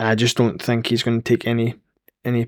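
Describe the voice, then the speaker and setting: A man with a Scottish accent speaks at medium pitch and a fairly quick pace. The recording is very clean and close, dry with no echo and a silent background. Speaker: football podcast co-host, Rangers fan. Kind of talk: casual chat.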